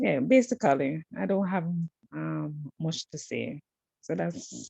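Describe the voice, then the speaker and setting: The pace is very slow. The sound is dry and close, with no echo. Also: woman. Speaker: student. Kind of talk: self-introduction in online class. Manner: halting, many fillers.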